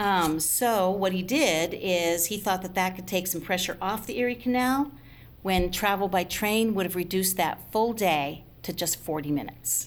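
At a moderate pace and with ordinary pitch variation, a woman with an American accent speaks in a medium pitch and an unremarkable speaking voice. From upstate New York, Schenectady. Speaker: museum guide and historian. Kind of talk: interview about history.

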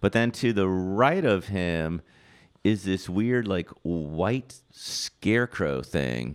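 A man with an American accent speaks at a very slow pace and a very deep, low pitch, his intonation lively. The recording is very clean, with a silent background. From Washington D.C., US. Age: 50s. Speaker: photographer. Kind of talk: casual interview chat.

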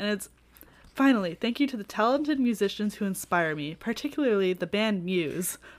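A woman with a medium pitch talks at a fairly quick pace, her tone animated and her intonation lively. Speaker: podcast co-host. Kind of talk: casual chat. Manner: animated, laughs often.

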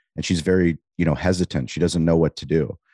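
Against a quiet background with a dry, close sound and no echo, a man with an American accent talks fairly quickly in a very deep, low pitch with vocal fry. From US West Coast, San Diego. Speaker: restaurant owner and podcast host. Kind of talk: interview conversation.

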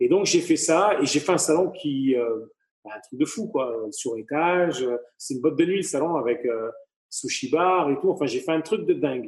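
Pitched fairly high, a man talks at a moderate pace. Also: lively intonation. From southern France, Avignon. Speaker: hairdresser and entrepreneur. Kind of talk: interview. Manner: halting, many repetitions and fillers.

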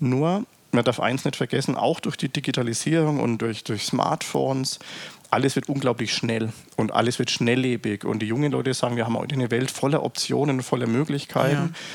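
A fairly brisk delivery with noticeable noise behind it. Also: man, medium pitch for a man, ordinary pitch variation. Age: 40s. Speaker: company executive. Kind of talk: interview.

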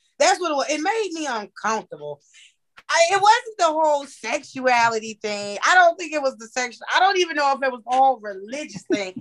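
Speaking at a fairly quick pace, a woman with a high pitch makes very wide pitch swings and big swings in loudness. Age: 30s. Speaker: podcast co-host. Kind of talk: casual chat.

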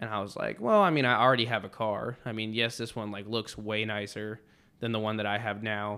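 A man speaks in a bright, sharp tone. His pace is moderate. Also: very clean recording, silent background. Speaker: podcast host; Marine. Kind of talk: casual chat. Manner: energetic, casual.

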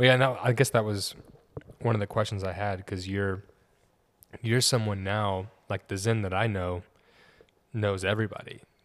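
A man's voice comes at a fairly low pitch and a moderate pace. He leaves long, frequent pauses. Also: fairly even intonation. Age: 20s. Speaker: podcast host. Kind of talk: casual interview chat.

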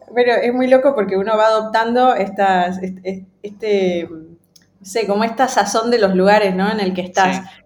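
Audible room echo surrounds a woman who speaks at a moderate pace and medium pitch, with hardly any pauses. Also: fairly even intonation. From Ecuador. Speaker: UX design lead. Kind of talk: interview.

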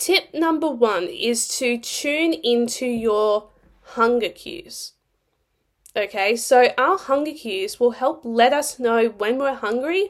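A woman with a high pitch talks at a very slow pace, her intonation lively. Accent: Australian. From Australia. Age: 20s. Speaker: nutrition coach and podcast host. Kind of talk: solo podcast monologue. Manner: animated.

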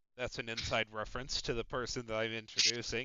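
Speaking with an American accent, a man talks at a medium pitch. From Chicago area, US Midwest. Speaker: podcast host of a simulated baseball league team. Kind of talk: casual chat. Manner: profane, animated.

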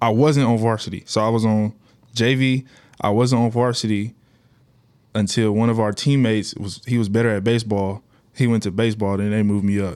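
Fairly quick and fairly even in intonation, a man with an American accent speaks in an ordinary speaking voice at a medium pitch. The recording is very clean with a silent background. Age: 20s. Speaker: basketball player. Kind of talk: casual chat.

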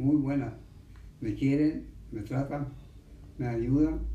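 A man's somewhat breathy, dark, mellow voice at a very slow pace, with audible room echo. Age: 80s+. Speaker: centenarian interviewee. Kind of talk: interview.

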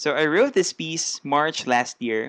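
A man with a Filipino accent, dry and close with no echo, in a very clean recording over a silent background. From Philippines. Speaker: spoken word poet. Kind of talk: casual podcast interview, Taglish. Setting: podcast interview.

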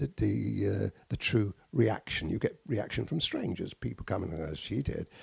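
A man's fairly low voice with vocal fry and lively intonation at a moderate pace. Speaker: podcast host, art teacher. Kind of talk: casual chat.

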